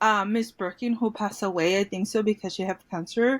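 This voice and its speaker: A woman with a Mexican accent, fairly high pitch, fairly even intonation and a moderate pace, on a very clean recording with a silent background. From Mexico, Tijuana. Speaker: former bilingual student. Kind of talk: interview.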